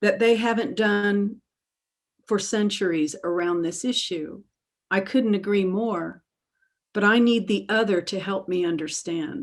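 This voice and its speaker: A woman speaks with a Southern US accent at a fairly slow pace. Her pitch is medium and varies in an ordinary way. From US South, Alabama. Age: 60s. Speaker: author and therapist. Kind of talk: webinar interview. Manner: halting.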